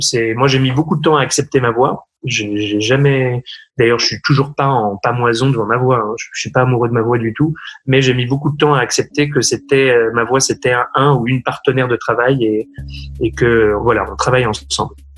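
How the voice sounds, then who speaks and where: A man talks at a moderate pace in a medium pitch, his intonation fairly even and his voice somewhat breathy. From France. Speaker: opera singer. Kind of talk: interview. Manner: hesitant, many fillers and repetitions.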